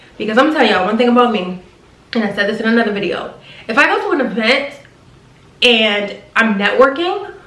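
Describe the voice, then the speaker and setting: Over noticeable background noise and audible room echo, a woman with a fairly high pitch and lively intonation speaks at a very fast pace, broken by long, frequent pauses. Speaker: flight attendant vlogger. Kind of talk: advice vlog. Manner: animated.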